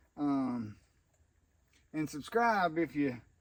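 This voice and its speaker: Using a Southern US accent, this man talks in a fairly high register. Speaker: homesteading YouTuber. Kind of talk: unboxing tutorial. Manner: casual, folksy.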